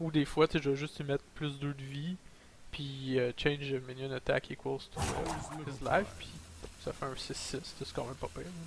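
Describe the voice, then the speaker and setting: Fairly high pitch from a man at a moderate pace, ordinary pitch variation, and noticeable background noise. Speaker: gaming YouTuber. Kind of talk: gameplay commentary.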